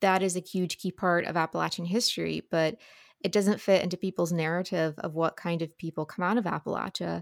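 A woman with an American accent has a plain, everyday voice, fairly low in pitch, and speaks at a fairly quick pace with fairly even intonation. The sound is dry and close with no echo, a very clean recording over a silent background. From Ohio River Valley, Ohio side. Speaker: book podcaster and editor. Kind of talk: interview conversation.

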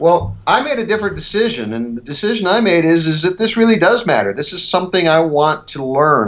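Speech comes at a very fast pace with very wide pitch swings and a Midwestern accent, over noticeable background noise. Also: man. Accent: General American (Midwest). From US Midwest, rural Ohio. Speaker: leadership speaker and author. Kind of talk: interview.

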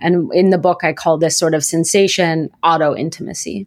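A plain, everyday voice with ordinary pitch variation, moving at a moderate pace. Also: woman. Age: 30s. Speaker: author and university lecturer. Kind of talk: interview. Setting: remote recording.

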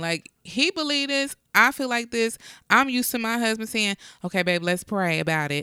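A woman with a fairly high pitch and a bright, sharp tone speaks at a moderate pace with very wide pitch swings, on a very clean recording with a silent background. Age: 40s. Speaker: podcast co-host and nurse. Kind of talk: casual chat.

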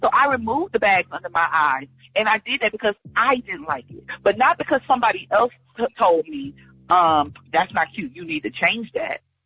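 A woman with a fairly high, bright, sharp voice speaks at a moderate pace, with vocal fry. Her pitch swings very widely and her loudness shifts a lot, all dry and close with no echo. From Georgia, US South. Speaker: comedian and actress. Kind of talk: casual interview chat. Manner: animated.

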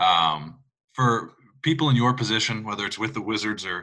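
Bright and sharp in tone, a man's fairly low-pitched voice moves at a moderate pace. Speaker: podcast host. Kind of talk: interview.

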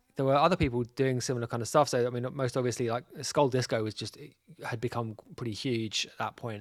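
The very clean recording, with a silent background, has a man talking fairly quickly at a medium pitch with fairly even intonation. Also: big swings in loudness. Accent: London. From North London. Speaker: DJ and label boss. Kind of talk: casual interview.

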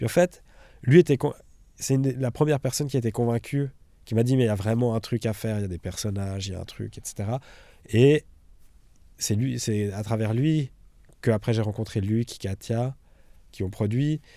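On a very clean recording with a silent background, a dark, mellow voice moves at a moderate pace with ordinary pitch variation and long, frequent pauses. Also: man, medium pitch for a man. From Switzerland, Villars. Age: 20s. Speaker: documentary filmmaker. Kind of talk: interview. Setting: cinema hall. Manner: halting.

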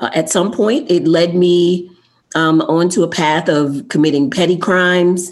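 A woman with an American accent speaks fairly slowly at a fairly low pitch, in a plain, everyday voice, with ordinary pitch variation and very even loudness. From New York (Queens), then Delaware. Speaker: life coach and motivational speaker. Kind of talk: interview.

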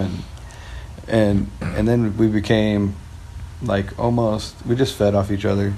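A man speaks in a fairly low pitch with an American accent. Audible room echo surrounds his voice. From US West Coast (Lakewood, LA County, California). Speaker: former pro skateboarder. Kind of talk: casual interview.

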